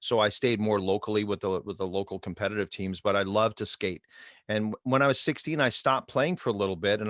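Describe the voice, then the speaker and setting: In a Montreal accent, a man talks very fast with a fairly low pitch and ordinary pitch variation, the recording very clean with a silent background and a dry, close sound free of echo. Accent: Canadian English, Montreal. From Quebec, Montreal. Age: 60s. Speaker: hockey coach and mindset trainer. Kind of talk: podcast interview. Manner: conversational, some hesitations.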